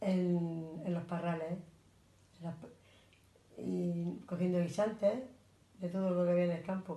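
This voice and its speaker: Fairly low in pitch, a woman's dark, mellow, somewhat breathy voice moves at a fairly slow pace with monotone, flat intonation. Long, frequent pauses break up her speech, and the room echo is audible. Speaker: grandparent interviewee. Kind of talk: interview.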